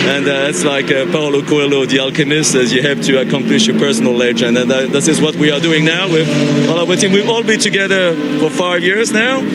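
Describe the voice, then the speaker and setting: Recorded with noticeable background noise and audible room echo, a man with a French accent speaks at a fairly quick pace in a fairly high pitch, with very wide pitch swings and very even loudness. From France. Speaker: amateur racing driver. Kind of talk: interview. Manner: halting, many fillers.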